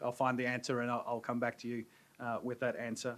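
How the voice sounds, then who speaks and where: A man with an Australian accent speaks at a medium pitch in a bright, sharp tone. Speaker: pharma business advisor. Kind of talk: seminar presentation. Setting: stage with audience. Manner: hesitant.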